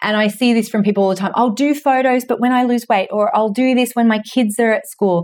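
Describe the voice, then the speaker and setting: A woman talks at a fairly quick pace and a fairly high pitch with ordinary pitch variation, in a plain, everyday voice. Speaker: author and business mentor. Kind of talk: interview conversation.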